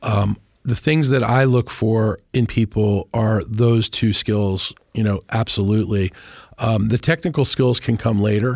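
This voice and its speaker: In an ordinary speaking voice, a man with an American accent talks at a fairly slow pace and medium pitch, with ordinary pitch variation and very even loudness, in a dry, close sound with no echo on a very clean recording with a silent background. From Washington DC area. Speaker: communications executive. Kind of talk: interview. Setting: studio.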